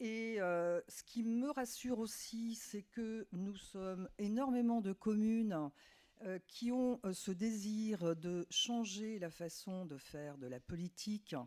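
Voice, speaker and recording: With lively intonation and a dark, mellow tone, a woman speaks at medium pitch in a dry, close sound with no echo. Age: 60s. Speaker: municipal election candidate. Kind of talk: candidate self-introduction.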